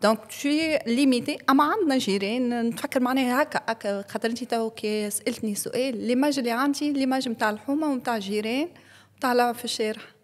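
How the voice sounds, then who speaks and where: A woman's high voice at a fairly quick pace, with hardly any pauses, ordinary pitch variation and a very clean recording with a silent background. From Tunisia, Kasserine. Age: 40s. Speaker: podcast guest. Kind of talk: interview conversation.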